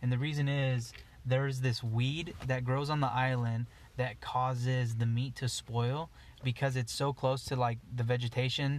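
A man's medium-pitched, somewhat breathy voice with an American accent, monotone and flat, at a moderate pace and very even loudness. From Eastern Oregon. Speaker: outdoor apparel business founder and hunter. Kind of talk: casual chat. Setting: in a parked car.

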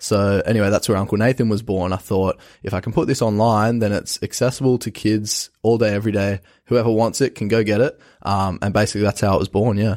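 Very fast speech with fairly even intonation, dry and close with no echo, on a very clean recording over a silent background. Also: man, fairly low pitch for a man. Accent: Australian. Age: young (19). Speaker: university student. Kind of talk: casual interview.

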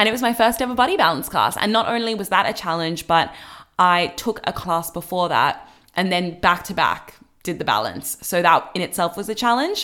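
In a very clean recording with a silent background, a woman speaks at a fairly quick pace in a medium pitch with ordinary variation. Her tone is animated, cheerful, bright and sharp. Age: 20s. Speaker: podcast host. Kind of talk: casual chat, playful game. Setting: at home.

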